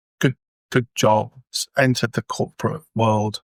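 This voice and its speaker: A man with an English accent at medium pitch, fairly slow and fairly even in intonation, on a very clean, dry, close recording with no echo and a silent background. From England. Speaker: communication trainer. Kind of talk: interview.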